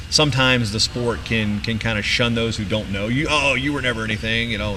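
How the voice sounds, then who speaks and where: A man's medium-pitched voice with ordinary pitch variation, at a fairly quick pace over music in the background. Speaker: wrestling announcer (PA announcer). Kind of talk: casual interview answer, storytelling.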